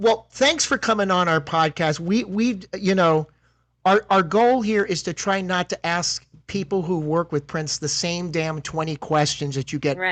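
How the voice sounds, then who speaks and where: Over a quiet background, the speaker talks at a moderate pace in a Philadelphia accent. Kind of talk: conversational. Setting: podcast.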